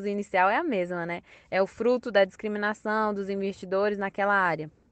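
The woman's voice sits at a medium pitch and sounds dry and close, with no echo. The background is quiet. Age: 20s. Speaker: university student podcaster. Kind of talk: educational podcast monologue.

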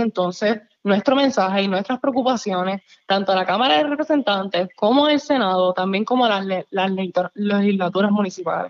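A woman's medium-pitched, ordinary speaking voice, fairly quick, with ordinary pitch variation. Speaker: youth podcast co-host. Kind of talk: casual interview.

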